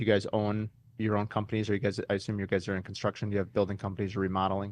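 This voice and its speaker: His pitch sits fairly low for a man. He speaks at a very fast pace. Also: quiet background. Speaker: custom home builder and podcast host. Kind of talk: podcast interview. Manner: animated.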